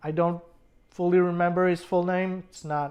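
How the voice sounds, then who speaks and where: A woman with a fairly low pitch speaks in a French accent. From France or French-speaking region. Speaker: movie reviewer. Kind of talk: casual review monologue. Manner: hesitant, many fillers.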